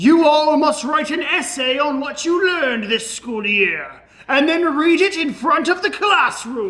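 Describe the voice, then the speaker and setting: In a put-on character voice, the speaker goes high in pitch at a fairly slow pace. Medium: comedy sketch. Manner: stern, authoritarian.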